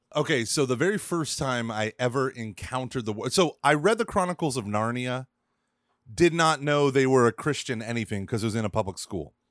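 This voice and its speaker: A man with an American accent speaks at medium pitch and a fairly quick pace in a normal speaking voice, recorded dry and close with no echo. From Oklahoma. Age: 30s. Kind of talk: casual chat. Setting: remote podcast interview.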